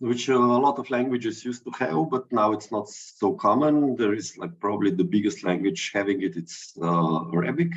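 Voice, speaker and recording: A man with a Slovenian accent at a moderate pace, medium pitch, very wide pitch swings and hardly any pauses. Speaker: digital artist. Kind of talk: artist talk. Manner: halting.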